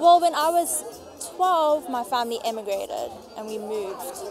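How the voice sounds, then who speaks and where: Music plays in the background and room echo is audible. A woman speaks at a moderate pace with a high pitch and lively intonation. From South Africa. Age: 20s. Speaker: recent graduate. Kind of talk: street interview. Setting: outdoors. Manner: casual.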